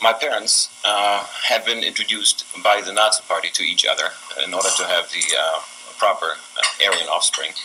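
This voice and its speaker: This man keeps a moderate pace while noticeable background noise runs underneath. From Germany. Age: 70s. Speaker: speaker on family history. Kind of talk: testimony. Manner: halting.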